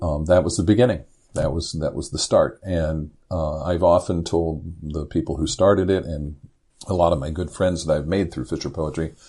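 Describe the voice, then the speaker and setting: With an American accent, a man speaks in a very deep, low voice. His tone is dark and mellow, and somewhat breathy. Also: fairly even intonation, moderate pace. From US Midwest (Indiana). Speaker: poet and former commercial fisherman. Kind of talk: interview conversation. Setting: podcast interview.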